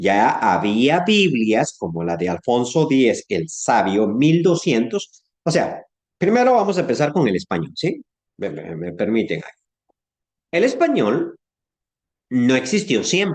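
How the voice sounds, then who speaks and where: A man with a Guatemalan accent talks at a fairly high pitch with vocal fry and very wide pitch swings. His pace is very slow, with long, frequent pauses. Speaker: Bible teacher. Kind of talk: online class lecture. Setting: online class. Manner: conversational, hesitant fillers.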